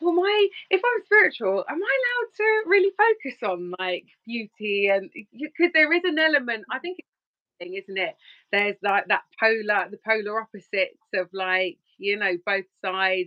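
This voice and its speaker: Her fairly high voice rising and falling through very wide pitch swings, a woman speaks with big swings in loudness. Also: moderate pace. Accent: London. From Surrey, southern England. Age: 20s. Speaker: relationship coach. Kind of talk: podcast interview. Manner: halting, many fillers.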